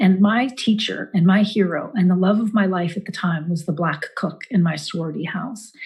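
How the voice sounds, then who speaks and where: A woman speaks at a moderate pace and medium pitch, somewhat breathy, with ordinary pitch variation and hardly any pauses. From Eastern Kentucky. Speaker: actress and campaign surrogate. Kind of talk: campaign speech.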